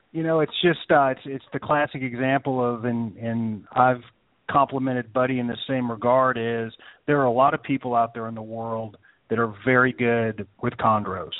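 Using a normal speaking voice, a man talks at a medium pitch and a moderate pace with fairly even intonation. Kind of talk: casual chat.

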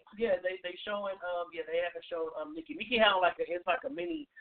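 A man talks at a fast pace, high-pitched for a man, with lively intonation. The sound is dry and close, with no echo.

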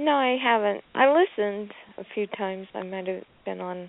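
A woman speaks at medium pitch with ordinary pitch variation. Her pace is moderate. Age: 50s. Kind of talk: casual chat.

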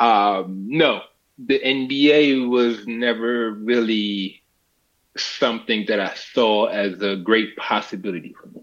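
A man's very slow delivery, pitch varying in an ordinary way. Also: medium pitch for a man, big swings in loudness. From Senegal. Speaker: former professional basketball player. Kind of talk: casual interview chat. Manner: animated.

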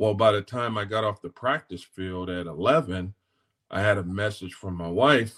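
In an American accent, a man speaks at a moderate pace and fairly low pitch with ordinary pitch variation, the sound dry and close with no echo on a very clean recording with a silent background. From Los Angeles, South Central. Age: 40s. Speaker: football coach. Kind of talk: casual interview. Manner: halting, many fillers and repeats.

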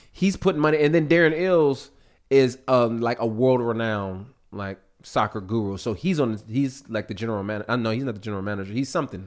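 A man speaks at a fairly quick pace with lively intonation. His is an ordinary speaking voice at medium pitch. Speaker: musician guest.

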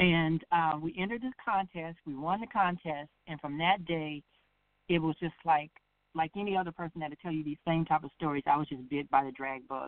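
A woman's very deep, low voice with an American accent, a fairly quick pace, ordinary pitch variation and big swings in loudness. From South Bend, Indiana. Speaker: drag pageant titleholder. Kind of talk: casual interview.

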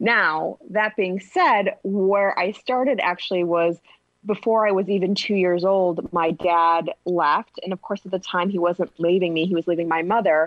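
A woman with an ordinary speaking voice talks at a medium pitch with fairly even intonation. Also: moderate pace. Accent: American. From US Midwest, north suburbs of Chicago. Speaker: intuitive relationship coach and author. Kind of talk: interview, personal story.

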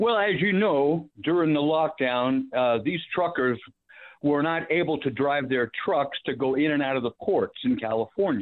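A plain, everyday voice with lively intonation, very even loudness, and a moderate pace. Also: man, fairly high pitch for a man. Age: 60s. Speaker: caller, retired diesel mechanic. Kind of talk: radio call-in. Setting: phone call.

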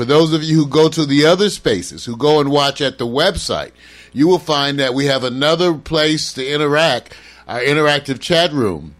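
Here a man uses an ordinary speaking voice at a fairly high pitch. He talks at a moderate pace with ordinary pitch variation. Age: 60s. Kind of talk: casual chat. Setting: livestream.

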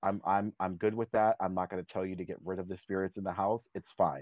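Very deep, low pitch from a man with an American accent. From Florida, US. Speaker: discussion circle participant. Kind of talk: personal storytelling in group discussion.

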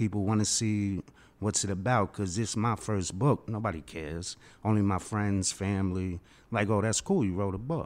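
Against a silent background in a very clean recording, a man with a New York accent talks at a moderate pace, his pitch fairly low with ordinary variation. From Queens, New York. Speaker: first-time author. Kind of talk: panel discussion. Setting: studio.

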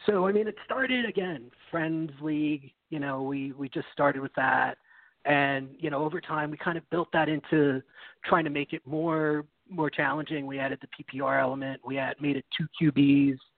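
With an American accent and an ordinary speaking voice, a man of fairly high pitch speaks at a moderate pace and with fairly even intonation. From New York City. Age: 30s. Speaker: fantasy football analyst. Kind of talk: podcast interview.

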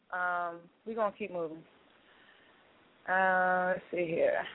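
Speaking slowly, a woman uses a fairly low pitch and fairly even intonation.

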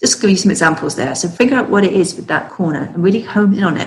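This woman speaks with an English accent. Her intonation stays fairly even. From UK. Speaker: author and business consultant. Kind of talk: casual interview chat.

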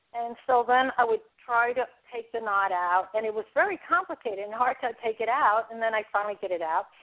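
With a New York accent, a woman speaks at a fairly quick pace in a fairly high pitch. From New York City (the Bronx). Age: 60s. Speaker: author. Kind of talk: interview.

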